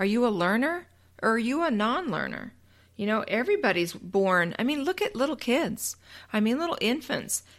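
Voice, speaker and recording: A woman speaks at a moderate pace with fairly high pitch, very wide pitch swings and very even loudness, on a very clean recording with a silent background. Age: 50s. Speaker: podcast host and teacher. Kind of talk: motivational solo podcast talk. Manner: conversational, frequent um fillers.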